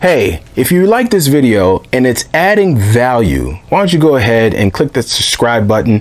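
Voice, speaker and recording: Over noticeable background noise, a man talks at a moderate pace in an animated tone with lively intonation. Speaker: tabletop gaming YouTuber. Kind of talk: video intro to camera.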